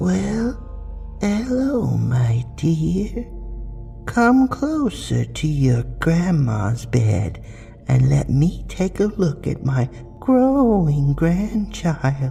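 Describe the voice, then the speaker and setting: Over clear music in the background, a soft-spoken, raspy put-on character voice moves at a very slow pace. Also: man, fairly high pitch for a man. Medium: read story. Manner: falsely sweet, grandmotherly.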